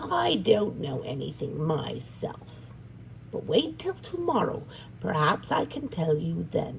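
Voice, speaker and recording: The speaker uses a put-on character voice. Background noise is clearly heard. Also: fairly slow pace. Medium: read story. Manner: warm, motherly.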